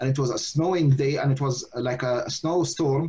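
This is a man's voice. It sounds somewhat breathy. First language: Arabic. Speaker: imam and researcher. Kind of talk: lecture. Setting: video call. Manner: halting.

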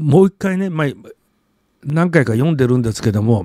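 The man's medium-pitched voice has a dark, mellow tone, recorded dry and close with no echo. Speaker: literature commentator and blogger. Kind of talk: solo video monologue. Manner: halting, many filler words.

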